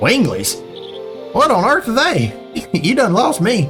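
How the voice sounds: Over clear music in the background, a man does a put-on character voice at a high pitch and a fairly slow pace.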